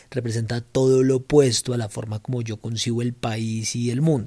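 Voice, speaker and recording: In a very clean recording with a silent background, a man speaks at a medium pitch in a dark, mellow tone with fairly even intonation. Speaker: politician and podcast host. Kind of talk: personal monologue.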